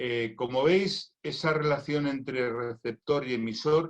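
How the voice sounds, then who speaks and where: The pitch rises and falls by an ordinary amount. It is a plain, everyday voice. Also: man. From Spain. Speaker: doctor and cancer patient. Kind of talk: recorded conference talk.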